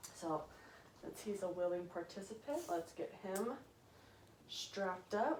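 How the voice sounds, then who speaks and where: Amid audible room echo and noticeable background noise, a woman speaks at a medium pitch and a fairly slow pace, with lively intonation and long, frequent pauses. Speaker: dog trainer. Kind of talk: casual vlog talk to camera. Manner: casual, chatty.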